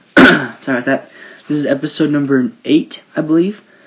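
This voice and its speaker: A man speaks fairly quickly and with fairly level intonation, with noticeable noise behind him. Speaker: sports podcast host. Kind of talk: casual sports commentary podcast.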